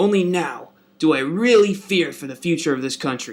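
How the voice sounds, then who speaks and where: Putting on a cartoonish character voice, a man speaks at a fairly high pitch with lively intonation. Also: moderate pace. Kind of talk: comic overacting. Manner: folksy, bombastic.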